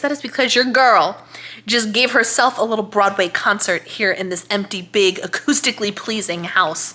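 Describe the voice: A woman at medium pitch with a bright, sharp tone, fairly even intonation and a moderate pace over faint background noise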